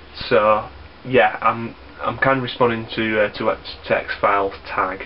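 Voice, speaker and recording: A man's fairly slow speech comes through with noticeable background noise. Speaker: YouTuber, gaming vlogger. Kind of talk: casual vlog. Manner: halting, many ums and repeats.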